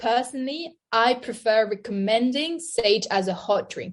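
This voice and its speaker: A woman's high-pitched voice with a French accent, fairly slow pace and lively intonation, over a quiet background. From France. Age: 20s. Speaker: nutritionist. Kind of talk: interview.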